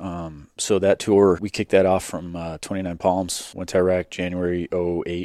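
Dark, mellow tone in an American accent, with monotone, flat intonation, moderate pace and big swings in loudness, on a very clean recording with a silent background and a dry, close sound with no echo. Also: man, very deep, low pitch for a man. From Chicago suburbs, US Midwest. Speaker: Marine veteran, business owner. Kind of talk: casual chat.

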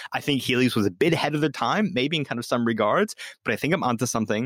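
Very fast speech comes from a man with medium pitch. The sound is dry and close, with no echo. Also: very clean recording, silent background. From Australia. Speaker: podcast host. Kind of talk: casual chat.

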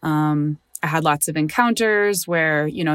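Dry and close with no echo, a woman's very deep, low voice carries an American accent. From Chicago suburbs, US. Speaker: poet. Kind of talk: interview.

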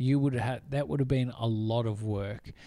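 Speaking at a moderate pace, a man with a medium pitch and a dark, mellow tone keeps his intonation fairly even. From New South Wales, Australia. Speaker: film podcast co-host. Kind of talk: casual chat.

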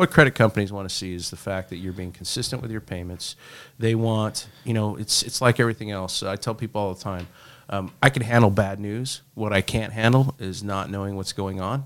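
A man with an American accent and an unremarkable speaking voice, fairly low in pitch, at a fairly quick pace, fairly even intonation, big swings in loudness, on a very clean recording with a silent background. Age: 40s. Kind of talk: casual conversational podcast chat.

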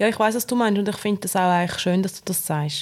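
The speaker uses fairly even intonation in a Swiss German accent. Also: woman. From Switzerland. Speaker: podcast co-host. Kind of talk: casual chat.

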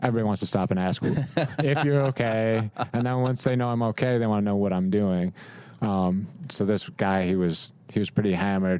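A plain, everyday voice with an American accent, ordinary pitch variation, very even loudness and a moderate pace. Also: man, fairly low pitch for a man. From Rochester, New York. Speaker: photographer. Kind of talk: casual interview. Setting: studio.

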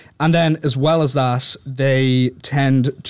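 A man speaks with an Irish accent. His pitch sits in the middle range, and his intonation stays fairly even. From Dublin, Ireland. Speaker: podcast guest, author. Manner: articulate.

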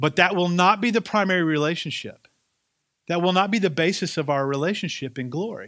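A man talks at a fairly quick pace in a high pitch with a bright, sharp tone. His pitch varies in an ordinary way, and the background is quiet. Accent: slight Southern US. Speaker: pastor. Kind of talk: sermon. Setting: church.

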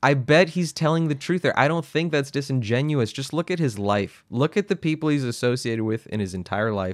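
Recorded very cleanly against a silent background, with a dry, close sound and no echo, a man with a plain, everyday voice speaks in an American accent, fairly high in pitch, with lively intonation and a fairly quick pace. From California, small town. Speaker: podcast co-host. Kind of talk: casual political discussion.

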